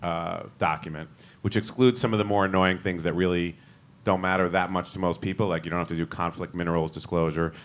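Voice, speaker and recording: A man on a very clean recording, silent background. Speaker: securities lawyer on a panel. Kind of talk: panel presentation. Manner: fast.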